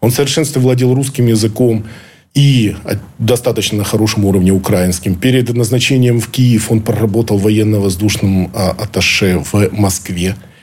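A man speaks at a fairly low pitch and a moderate pace, somewhat breathy. His pitch varies in an ordinary way and his loudness stays very even. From Ukraine. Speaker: former intelligence officer. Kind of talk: interview. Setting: studio.

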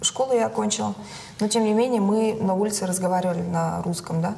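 Audible room echo and noticeable background noise accompany a woman who talks fairly quickly. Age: 30s. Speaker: entrepreneur. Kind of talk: casual chat.

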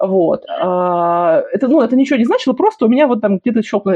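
A woman's somewhat breathy voice sits fairly high and moves through very wide pitch swings. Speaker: podcast host. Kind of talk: interview. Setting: remote call.

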